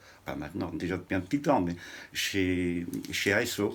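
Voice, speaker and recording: A man with a very deep, low pitch speaks at a fairly slow pace in a very clean recording with a silent background. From Belgium (Huy, Wallonia). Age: 60s. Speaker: interviewee on cycling history. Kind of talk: interview. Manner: hesitant.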